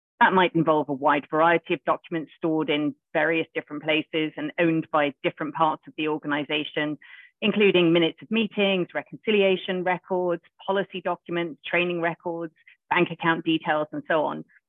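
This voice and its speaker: Fairly low in pitch, a woman speaks in an unremarkable speaking voice at a fairly quick pace with fairly even intonation. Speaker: lawyer. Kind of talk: professional discussion. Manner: fluent, formal.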